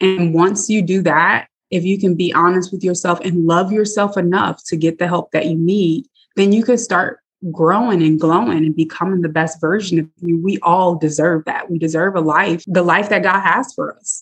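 A woman's medium-pitched voice at a moderate pace with ordinary pitch variation, a normal speaking voice. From US Midwest, South Bend, Indiana. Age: 30s. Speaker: mental health therapist. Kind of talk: interview, personal testimony.

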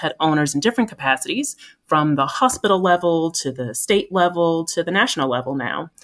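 An ordinary speaking voice from a woman with an American accent, fairly low in pitch, fairly quick and lively in intonation, in a very clean recording with a silent background. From US Northeast, New Jersey. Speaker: veterinarian, pharma medical lead. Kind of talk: podcast interview.

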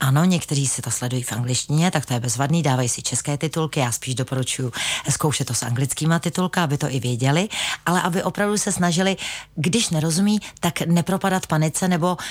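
A woman talks fairly quickly in a very deep, low pitch. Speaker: language school owner and English teacher. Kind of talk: radio interview. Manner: halting, many filler sounds.

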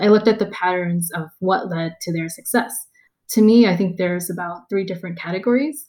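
In a Californian accent, a woman with a dark, mellow tone and medium pitch speaks at a fairly quick pace with ordinary pitch variation. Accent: General American, Californian. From US West Coast, Los Angeles. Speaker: tech product manager. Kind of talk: interview.

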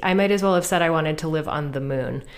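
With an American accent, a woman speaks at a very deep, low pitch with ordinary pitch variation. Audible room echo surrounds her voice. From Pennsylvania. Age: 30s. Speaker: writer. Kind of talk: interview; storytelling on stage. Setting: stage with audience.

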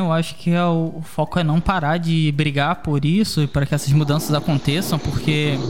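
A man's fairly high voice at a moderate pace, over noticeable background noise. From Rio de Janeiro, Brazil. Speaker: podcast host. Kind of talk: casual interview.

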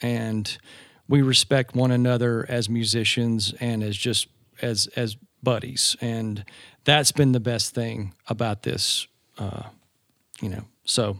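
The speaker talks at a very slow pace with an American accent, long, frequent pauses and monotone, flat intonation. The recording is very clean with a silent background and a dry, close sound with no echo. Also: man, medium pitch for a man. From US South, Georgia. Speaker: band tour manager and former drummer. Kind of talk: casual interview. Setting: hotel room.

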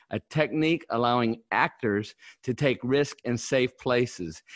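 A man with a plain, everyday voice at medium pitch and a fairly slow pace, the background quiet. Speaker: podcast host. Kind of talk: casual chat. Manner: excitable.

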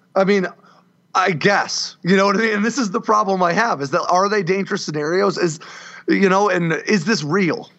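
The speaker has an American accent and a moderate pace. Pitch varies in an ordinary way. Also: man, high pitch for a man. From US, grew up in a trailer park. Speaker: former Marine and defense writer. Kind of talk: casual chat.

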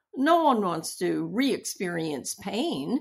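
There is vocal fry in this voice, which swings very widely in pitch. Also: woman. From US, Japanese-American family. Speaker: hospital chaplain and seminary professor. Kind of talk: interview.

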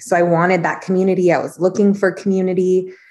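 Talking at a fairly quick pace, a woman with an American accent uses a plain, everyday voice at a medium pitch. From California. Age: 30s. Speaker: chiropractor. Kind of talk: casual chat.

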